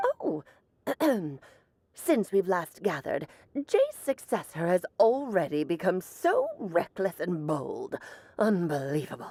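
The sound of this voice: Putting on a character voice, a woman speaks at a medium pitch and a fairly slow pace, leaving long, frequent pauses.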